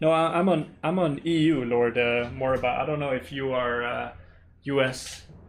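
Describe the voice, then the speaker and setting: The speaker has a relaxed tone and a slight Danish accent, talking at a moderate pace with fairly even intonation. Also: man, medium pitch for a man. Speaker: gaming streamer. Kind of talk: casual live-stream chat. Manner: casual, relaxed.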